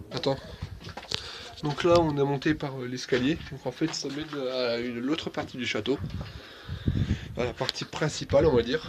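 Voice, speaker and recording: Over noticeable background noise, a man at a medium pitch talks at a fairly quick pace with fairly even intonation. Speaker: amateur video host touring a castle. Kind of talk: casual tour commentary. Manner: hesitant.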